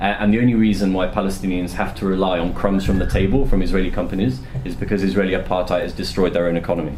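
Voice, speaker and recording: A man speaks at a very fast pace in a very deep, low voice. There is noticeable background noise and an audible echo from the room. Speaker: journalist and author giving a talk. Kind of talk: Q&A answers after a talk. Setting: university lecture room with audience.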